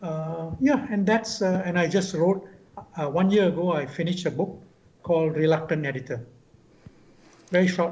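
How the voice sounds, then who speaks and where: A man talks at a moderate pace with ordinary pitch variation. His voice sits high for a man, broken by long, frequent pauses. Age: 70s. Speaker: veteran journalist. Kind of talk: interview.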